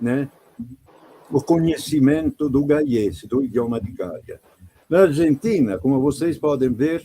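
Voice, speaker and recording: Speaking at a very slow pace with long, frequent pauses, a man uses lively intonation. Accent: Italian. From Italy. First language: Italian (speaking Portuguese). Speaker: painter. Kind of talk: interview.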